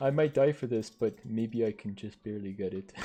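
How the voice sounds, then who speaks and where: A man speaks with a Canadian accent at a fairly low pitch. His tone is dark and mellow. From French Canada. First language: French. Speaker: streamer and gamer. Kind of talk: casual live-stream gaming commentary. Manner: casual, filler-heavy.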